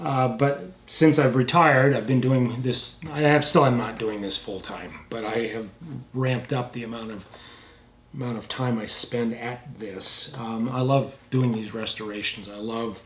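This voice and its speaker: A man's medium-pitched voice at a fairly slow pace, with fairly even intonation, big swings in loudness and audible room echo. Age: 70s. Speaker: firearms restorer and channel host. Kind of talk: casual channel update talk to camera. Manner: halting, many fillers and repeats.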